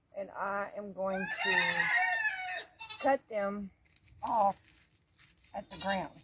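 A woman's voice with ordinary pitch variation, dry with no echo, over noticeable background noise. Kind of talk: casual gardening tutorial. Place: garden.

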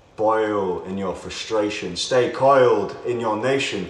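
A man talks fairly slowly, and audible room echo follows his words. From United Kingdom. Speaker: spoken word poet. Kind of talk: spoken word poetry performance over music, rhythmic and declamatory. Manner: rhythmic, rhyme-driven delivery with internal rhymes; impassioned, sardonic and exclamatory. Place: empty room.

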